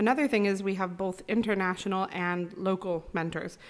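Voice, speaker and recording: A woman with an American accent talks at a moderate pace and medium pitch, with fairly even intonation, in an unremarkable speaking voice. The recording is very clean, with a silent background. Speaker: university international office staff. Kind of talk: podcast interview.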